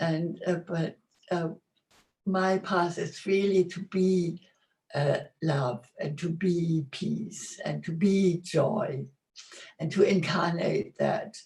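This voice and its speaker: Delivery is very slow. Long pauses occur frequently. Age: 80s+. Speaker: spiritual teacher. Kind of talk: testimony. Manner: halting.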